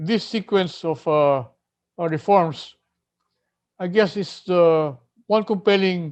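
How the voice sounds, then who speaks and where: Against a quiet background, a man speaks at a high pitch with ordinary pitch variation. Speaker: economist presenting policy proposals. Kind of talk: lecture presentation. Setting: online event, partly pre-recorded. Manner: hesitant, many fillers.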